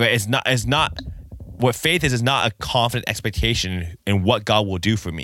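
Over a very clean recording with a silent background, a man with a fairly low pitch, a bright, sharp tone and vocal fry speaks in an animated tone at a moderate pace. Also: lively intonation. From Japanese heritage. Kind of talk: bible teaching talk. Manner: casual.

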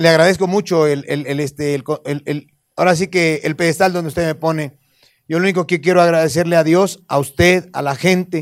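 Using a plain, everyday voice, a man talks at a moderate pace with a fairly high pitch. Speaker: comedian. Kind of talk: casual chat.

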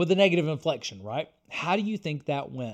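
Delivered at a fairly quick pace with lively intonation, this is a plain, everyday voice on a very clean recording with a silent background. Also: man. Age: 30s. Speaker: podcast host and author. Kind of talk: casual interview conversation.

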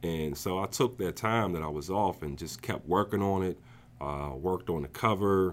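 A man with an American accent speaks in a very deep, low voice. He keeps a moderate pace with ordinary pitch variation. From New Jersey. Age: 40s. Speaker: author. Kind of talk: casual interview.

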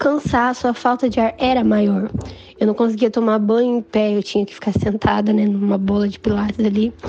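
A woman at a fairly high pitch and moderate pace, over noticeable background noise. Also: ordinary pitch variation. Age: 20s. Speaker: patient with cystic fibrosis. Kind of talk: personal testimony. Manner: casual.

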